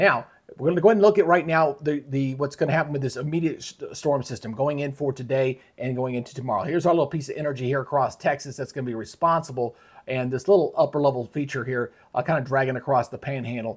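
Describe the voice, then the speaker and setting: Against a quiet background, a man talks at a very fast pace, somewhat breathy, with ordinary pitch variation. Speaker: weather commentator. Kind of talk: weather forecast commentary.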